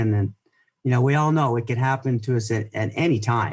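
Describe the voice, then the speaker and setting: With a somewhat breathy voice, a man talks using ordinary pitch variation. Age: 60s. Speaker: ski filmmaker and skier. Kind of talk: interview. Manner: halting, many repeated words.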